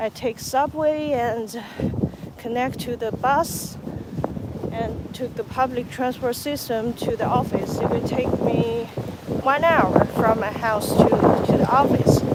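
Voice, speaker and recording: The speech comes at a very slow pace in a Chinese accent. Noticeable background noise runs underneath. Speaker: vlogger. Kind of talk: walking vlog narration. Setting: outdoors. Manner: halting.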